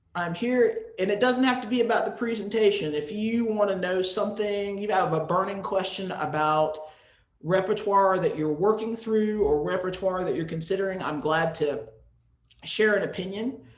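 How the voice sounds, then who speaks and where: Audible room echo surrounds the voice. A man with an American accent speaks at a high pitch. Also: ordinary pitch variation, moderate pace. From US, North Carolina. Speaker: music educator, presenter. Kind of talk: webinar presentation with Q&A.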